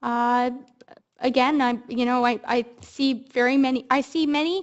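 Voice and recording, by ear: Speaking at a moderate pace, a woman keeps her high-pitched voice fairly even in intonation.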